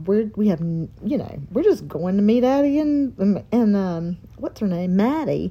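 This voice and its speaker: In a Southern US accent, a woman talks with a dark, mellow tone. Her voice is somewhat breathy, with very wide pitch swings. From North Carolina. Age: 40s. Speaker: dance teacher and podcast co-host. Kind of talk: casual chat.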